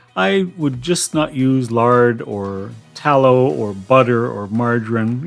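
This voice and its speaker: A man talks at a medium pitch with lively intonation while music plays in the background. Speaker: cooking channel host. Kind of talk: cooking tutorial. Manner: casual, chatty.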